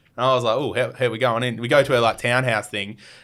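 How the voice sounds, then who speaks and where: Over a silent background in a very clean recording, a man speaks with an Australian accent. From Australia, Adelaide. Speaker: YouTuber, travel vlogger. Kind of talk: casual chat. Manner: animated.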